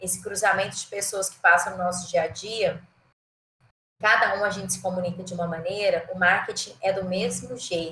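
A woman's bright, sharp tone sits at a medium pitch, moving at a moderate pace with monotone, flat intonation and big swings in loudness. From Goiás, central Brazil (Goiânia). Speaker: marketing executive and professor. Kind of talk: casual interview. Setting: remote call.

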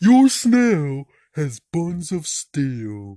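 A put-on character voice at middle pitch with very wide pitch swings. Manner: dim-witted, cheerful.

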